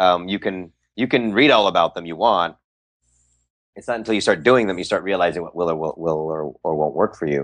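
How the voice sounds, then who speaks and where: A man with a Californian accent, a very deep, low pitch and a fairly quick pace, against a quiet background. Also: ordinary pitch variation. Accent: Californian American. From San Francisco Bay Area. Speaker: magician and actor. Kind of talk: interview. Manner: halting, many repetitions and fillers.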